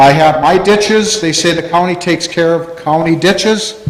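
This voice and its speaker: A man with an American accent, fairly slow pace and ordinary pitch variation, plus audible room echo and noticeable background noise. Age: 60s. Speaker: farmer. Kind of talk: public comment at meeting. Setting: town hall meeting. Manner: halting.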